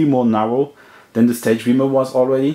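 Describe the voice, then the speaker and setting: Someone with a French accent speaks at a moderate pace with fairly even intonation. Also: man. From France. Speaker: lighting equipment reviewer. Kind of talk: product review talk to camera.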